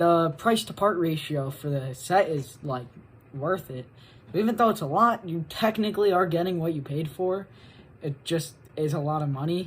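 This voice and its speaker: Somewhat breathy and fairly low-pitched, a woman speaks at a moderate pace with lively intonation. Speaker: guest contributor to video essay. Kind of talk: casual video segment.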